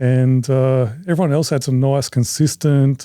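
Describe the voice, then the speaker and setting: A man with an Australian accent, at a fairly high pitch in a dark, mellow tone, a fairly slow pace, and fairly even intonation. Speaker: competitive shooter. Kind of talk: casual chat.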